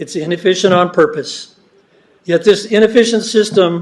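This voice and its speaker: A man speaks loudly at a high pitch. His pace is moderate and his pitch varies in an ordinary way. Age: old. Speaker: member of the public giving comment. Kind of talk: public comment at a meeting. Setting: public meeting hall. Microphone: not using the microphone, it is broken.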